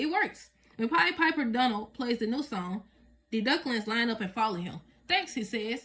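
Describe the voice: Reading aloud, done plainly.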